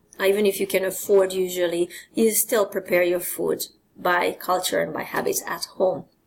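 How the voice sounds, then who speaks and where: Speaking at a moderate pace, a woman uses a medium pitch. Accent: Hungarian. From Hungary. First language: Hungarian. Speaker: presenter. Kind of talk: lecture.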